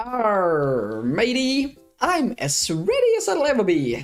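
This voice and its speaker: A put-on character voice, fairly high in pitch, moves at a fairly slow pace. Faint music plays in the background. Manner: playful, mock-gruff.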